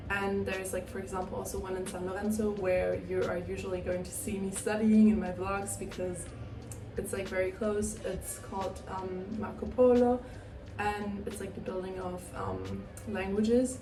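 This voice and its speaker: A woman speaks at a moderate pace with music in the background and audible room echo. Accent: German. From Germany. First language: German. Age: 20s. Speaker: university student, vlogger. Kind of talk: casual vlog talk. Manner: casual, filler-heavy.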